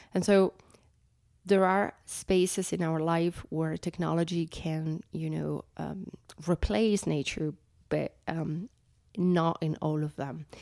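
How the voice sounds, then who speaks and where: In a very clean recording with a silent background, a woman with an Italian accent speaks very slowly, her voice a dark, mellow tone at fairly low pitch with fairly even intonation. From Italy. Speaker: conservationist. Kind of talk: interview. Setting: in person in Mexico City.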